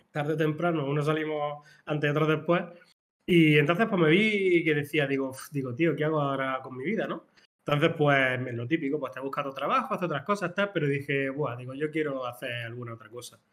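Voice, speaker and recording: In a plain, everyday voice, a man with a fairly high pitch talks at a fairly quick pace, with ordinary pitch variation and big swings in loudness. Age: 40s. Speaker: small business co-founder, media producer. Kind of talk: casual chat.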